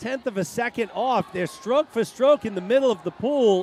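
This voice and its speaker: With an extremely high pitch for a man, he speaks at a moderate pace with lively intonation. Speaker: swim meet announcer. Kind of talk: live commentary. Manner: animated.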